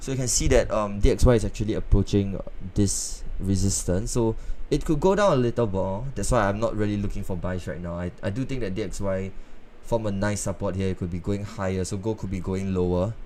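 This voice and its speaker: A man's fairly low voice at a fairly quick pace with ordinary pitch variation and audible room echo. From northeast China. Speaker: forex trading streamer. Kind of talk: live trading stream. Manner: casual, conversational.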